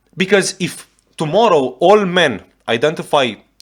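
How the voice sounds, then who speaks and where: A man talks with a Romanian accent. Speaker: YouTube reactor. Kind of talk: reaction video commentary. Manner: animated.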